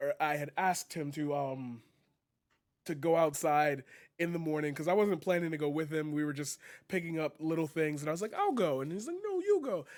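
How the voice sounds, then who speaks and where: Speaking with fairly even intonation, a man has a plain, everyday voice pitched fairly high. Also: fairly quick pace. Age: 20s. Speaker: streamer and poet. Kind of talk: casual chat.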